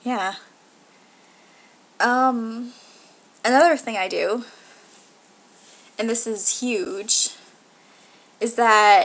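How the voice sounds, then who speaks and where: A woman speaks very slowly with a nervous tone and long, frequent pauses, her fairly high pitch showing ordinary variation. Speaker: video blogger. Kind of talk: casual vlog monologue. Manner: nervous at the start of videos.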